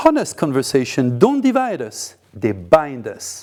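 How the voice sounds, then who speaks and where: A man with a French accent has a dark, mellow tone. He speaks at a moderate pace with very wide pitch swings. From France. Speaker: podcast host. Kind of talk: monologue commentary.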